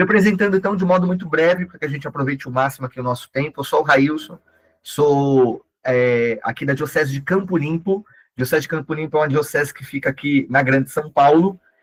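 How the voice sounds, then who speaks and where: A somewhat breathy man, fairly high in pitch, at a fairly quick pace with ordinary pitch variation. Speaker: catechist and digital missionary. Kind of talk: online training lecture. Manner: animated.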